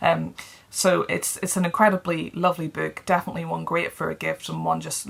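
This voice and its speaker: With a British accent, the speaker moves at a fairly quick pace over noticeable background noise. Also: woman. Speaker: book reviewer. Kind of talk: casual talk to camera.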